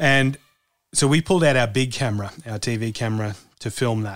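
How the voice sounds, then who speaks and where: With an Australian accent, a man speaks at a medium pitch and fairly even intonation in a very clean recording with a silent background. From Australia, rural farm. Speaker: former foreign correspondent turned cattle station hand. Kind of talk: interview conversation.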